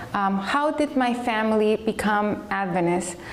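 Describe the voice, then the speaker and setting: A woman speaks at a moderate pace, with noticeable background noise and audible room echo. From Chile. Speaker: speaker giving life story talk. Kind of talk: testimony. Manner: hesitant, many fillers.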